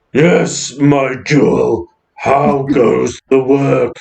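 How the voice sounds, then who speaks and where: With a slight echo, a man does a put-on character voice, guttural and raspy at a medium pitch, speaking at a very slow pace. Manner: theatrical, playing a part.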